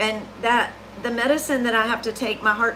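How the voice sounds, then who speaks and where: A woman with a Southern US accent, fairly high pitch and moderate pace, amid noticeable background noise. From US South. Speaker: cookie decorator. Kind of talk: livestream tutorial chat. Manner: casual, chatty.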